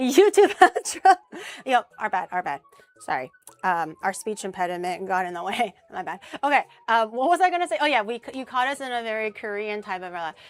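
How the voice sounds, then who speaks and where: Her voice fairly high, a woman speaks at a fairly quick pace with very wide pitch swings and big swings in loudness. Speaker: vtuber streamer. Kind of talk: casual chat. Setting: livestream cooking collab. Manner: stumbles over words.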